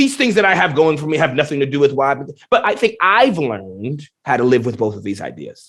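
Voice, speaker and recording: With an animated tone, a man speaks fairly quickly at a fairly high pitch, his pitch swinging very widely and his loudness shifting a lot. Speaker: professor, scientist. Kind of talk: podcast interview.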